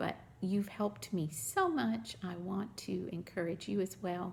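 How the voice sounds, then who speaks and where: With a Southern US accent, a woman speaks at a fairly slow pace. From US South, Mississippi. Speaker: crafting vlogger. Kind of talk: casual show-and-tell vlog.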